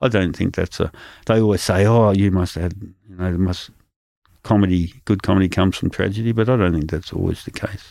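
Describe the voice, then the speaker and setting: A man's very deep, low voice with a dark, mellow tone and a rural Australian accent, fairly quick and fairly even in intonation, on a very clean recording with a silent background. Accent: broad rural Australian. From rural Albury-Wodonga area, Australia. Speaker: stand-up comedian. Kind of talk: casual interview.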